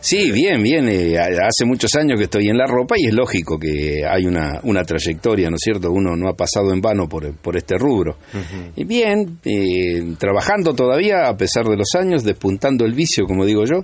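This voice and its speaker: A man with a fairly low pitch talks at a moderate pace, with very wide pitch swings but very even loudness. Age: 70s. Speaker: clothing salesman. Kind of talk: interview.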